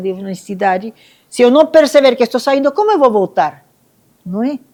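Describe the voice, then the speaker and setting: In a normal speaking voice, a woman keeps a moderate tempo, her intonation lively. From Venezuela, Caracas. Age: 60s. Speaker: Buddhist nun. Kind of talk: testimony at a live event.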